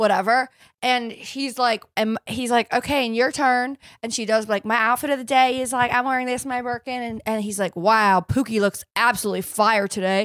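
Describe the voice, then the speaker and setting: Recorded very cleanly against a silent background, in a dry, close sound with no echo, a woman with an American accent and an unremarkable speaking voice talks at a moderate pace, fairly high in pitch, with fairly even intonation. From California. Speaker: podcast host. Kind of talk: casual chat.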